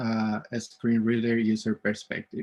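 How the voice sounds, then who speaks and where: A man speaks with a Spanish accent. His intonation stays fairly even. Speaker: event host, UX designer. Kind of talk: conference session introduction. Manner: halting, many fillers.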